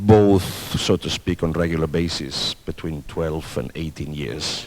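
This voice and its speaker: Noticeable background noise sits under a man's very deep, low voice. He speaks at a fairly slow pace with lively intonation. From Spain, then Denmark. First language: Spanish and Catalan. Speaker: orchestra conductor. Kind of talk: interview. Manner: hesitant, many fillers.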